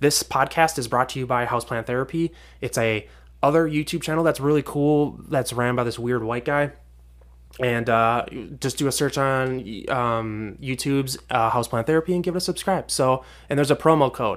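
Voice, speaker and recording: A man with an American accent, a plain, everyday voice, medium pitch and ordinary pitch variation, at a fairly quick pace in a very clean recording with a silent background. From Minnesota, US. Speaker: podcast host, fish keeper. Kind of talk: casual solo podcast monologue. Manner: informal, chatty.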